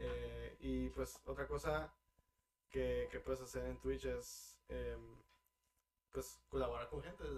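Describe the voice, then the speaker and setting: This man talks very slowly. His pauses are long and come often. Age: 20s. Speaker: streamer and systems engineer. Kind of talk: casual chat.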